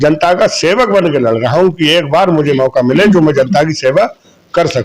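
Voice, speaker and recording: A man's normal speaking voice, fairly high in pitch, with very even loudness, ordinary pitch variation and a moderate pace. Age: 60s. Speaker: local election candidate. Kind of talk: street interview.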